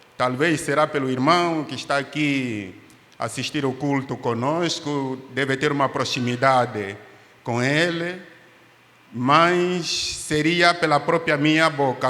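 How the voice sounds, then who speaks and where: A man with an Angolan accent speaks very slowly at a fairly high pitch with ordinary pitch variation, while noticeable background noise is present. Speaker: pastor and doctor, missionary. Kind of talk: testimony in church. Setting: church service.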